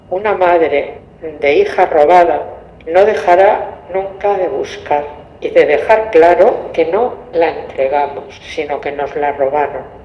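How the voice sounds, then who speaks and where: A woman at a very slow pace, ordinary pitch variation, with audible room echo and noticeable background noise. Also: fairly low pitch for a woman. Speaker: mother of stolen baby. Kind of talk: testimony.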